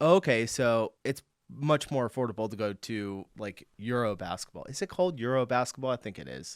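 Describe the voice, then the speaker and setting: A man with an American accent talks at a moderate pace and medium pitch with lively intonation, big swings in loudness and hardly any pauses. It is a plain, everyday voice, heard dry and close with no echo on a very clean recording with a silent background. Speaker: reaction video creator. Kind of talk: casual reaction commentary. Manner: casual, chatty.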